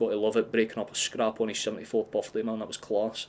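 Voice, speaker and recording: Speaking at a very fast pace, a man with a strong Scottish accent holds a medium pitch. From Scotland. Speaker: football fan streamer. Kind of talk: live watchalong commentary. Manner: animated.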